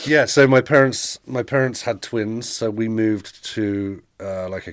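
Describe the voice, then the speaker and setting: Someone with an English accent speaks at a fairly slow pace with ordinary pitch variation and big swings in loudness, on a very clean recording with a silent background. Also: man. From England, Milton Keynes (born East London). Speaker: podcast guest, immigrant. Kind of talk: casual interview chat. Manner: halting, stumbling over words.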